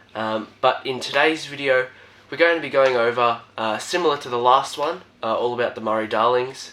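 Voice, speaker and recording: There is noticeable background noise as a man with an Australian accent speaks. His pitch is medium, with ordinary variation. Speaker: reptile keeper and YouTuber. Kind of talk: casual video presentation. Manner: hesitant, many fillers.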